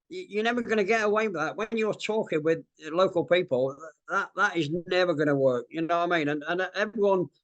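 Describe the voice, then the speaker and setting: Over a quiet background, a man with an English accent speaks at a moderate pace in a high pitch with ordinary pitch variation. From England. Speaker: ex-special forces soldier. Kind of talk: interview. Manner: hesitant, many fillers. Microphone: choppy audio from wifi problems early on.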